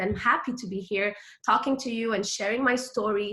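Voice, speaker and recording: Fairly even intonation in a French accent. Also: woman. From Quebec, Montreal. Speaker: direct sales consultant. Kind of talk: motivational talk. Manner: casual, filler-heavy.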